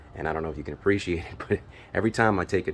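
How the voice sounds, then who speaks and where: A man talks with vocal fry and fairly even intonation over light background noise. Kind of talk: casual vlog chat. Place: garden. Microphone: phone near.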